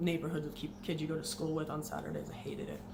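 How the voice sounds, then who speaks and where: A woman speaks quietly at a fairly low pitch. Noticeable background noise and audible room echo surround her. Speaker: former Jehovah's Witness vlogger. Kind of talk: personal testimony. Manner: fast.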